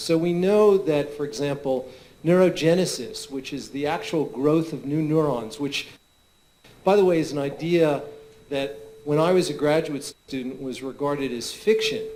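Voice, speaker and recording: A man's fairly high pitch and dark, mellow tone amid audible room echo. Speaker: neuroscientist. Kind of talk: conference Q&A.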